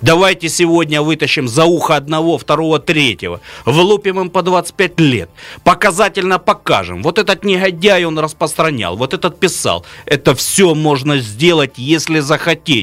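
A man's fairly high-pitched voice with vocal fry, ordinary pitch variation and a moderate pace. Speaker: regional politician. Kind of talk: radio talk show discussion. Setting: studio. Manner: animated.

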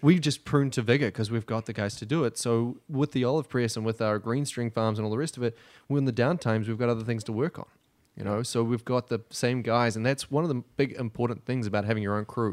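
A man's medium-pitched voice in a New Zealand accent, very fast and fairly even in intonation, with a dry, close sound, no echo, and a very clean, silent background. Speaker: assistant winemaker. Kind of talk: casual chat. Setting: studio.

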